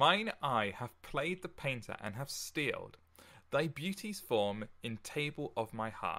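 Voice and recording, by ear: Someone reads a text out loud. Their delivery sounds natural.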